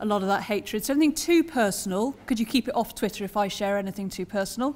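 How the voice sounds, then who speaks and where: The voice belongs to a woman. Ordinary pitch variation runs through it. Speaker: conference keynote speaker. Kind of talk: keynote speech, spoken freely. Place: hall. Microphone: podium.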